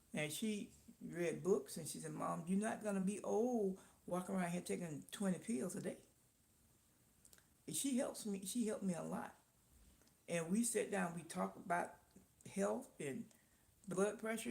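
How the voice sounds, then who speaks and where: Vocal fry at a moderate pace with long, frequent pauses. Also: woman. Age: 60s. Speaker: live-stream host, small business owner. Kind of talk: casual live-stream chat. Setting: live stream.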